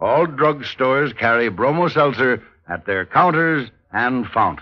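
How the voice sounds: Slow speech from a man at a medium pitch, with big pitch swings.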